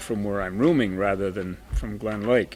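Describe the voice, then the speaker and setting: Noticeable background noise fills the clip. Through it, a man talks with an American accent. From northern Ohio, US Midwest. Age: 70s. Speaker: senior community member. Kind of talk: personal recollection.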